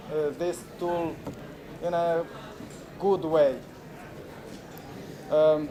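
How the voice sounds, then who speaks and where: The voice carries audible room echo over noticeable background noise. It speaks in a flat monotone at a very slow pace, with long, frequent pauses. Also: man, high pitch for a man. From Moldova. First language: Romanian. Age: 40s. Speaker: activist and filmmaker. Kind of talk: conference talk. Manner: halting, many fillers.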